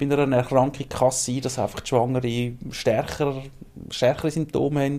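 The man's pitch is medium. He talks with monotone, flat intonation. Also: moderate pace. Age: 40s. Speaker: librarian. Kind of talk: casual chat.

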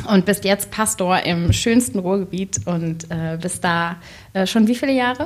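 Using lively intonation, a woman with a medium pitch speaks at a fairly slow pace. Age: 30s. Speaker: podcast co-presenter interviewing the host. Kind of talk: casual interview.

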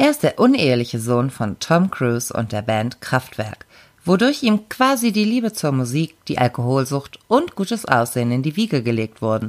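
This woman's voice has a very deep, low pitch with very wide pitch swings. She speaks at a moderate pace. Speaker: podcast co-host. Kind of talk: casual chat.

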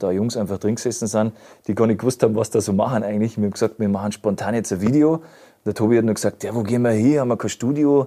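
Very fast and fairly even in intonation, a man speaks with a dark, mellow tone. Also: very clean recording, silent background. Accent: Upper Bavarian. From Upper Bavaria. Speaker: musician. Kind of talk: casual interview. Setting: studio.

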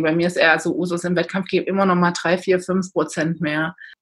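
This woman's voice is somewhat breathy. Her intonation stays fairly even. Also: very clean recording, silent background. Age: 30s. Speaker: endurance athlete. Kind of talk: interview.

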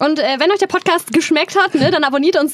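This woman talks fairly quickly. Noticeable background noise can be heard throughout. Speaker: podcast co-host. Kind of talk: casual chat.

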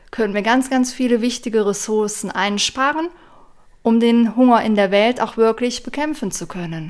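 The woman speaks at a fairly slow pace in a very clean recording with a silent background. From western Germany, near Aachen. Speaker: vegan nutrition advisor. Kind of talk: casual chat.

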